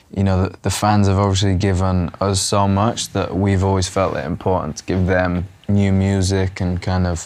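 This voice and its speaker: This man's pitch is very deep and low, and his intonation stays monotone and flat. He talks at a moderate pace. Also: hardly any pauses. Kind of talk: interview answer. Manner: relaxed, conversational.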